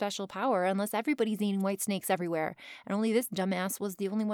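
Fairly even intonation in a natural reading voice

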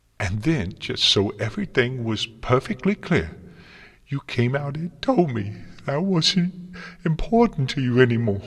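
A man puts on a character voice at a medium pitch, with big pitch swings and a slightly husky edge. He speaks at a fairly slow pace.

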